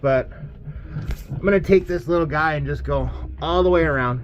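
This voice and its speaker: Noticeable background noise sits behind a male speaker. He talks at a fairly quick pace. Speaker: bowling alley mechanic. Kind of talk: tutorial. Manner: casual, hesitant with fillers.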